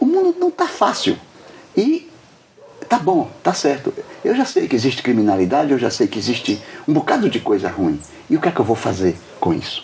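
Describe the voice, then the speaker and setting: Through noticeable background noise, a man talks at a moderate pace with long, frequent pauses. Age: 70s. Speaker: doctor and author interviewed. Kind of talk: interview.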